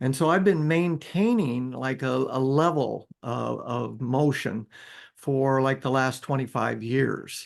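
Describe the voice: A man at medium pitch, slow-paced with vocal fry and ordinary pitch variation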